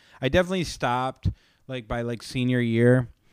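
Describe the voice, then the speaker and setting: A man speaks in a normal speaking voice at a medium pitch. His intonation is lively and his pace moderate. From Florida, US. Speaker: comedian and podcaster. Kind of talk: casual interview chat.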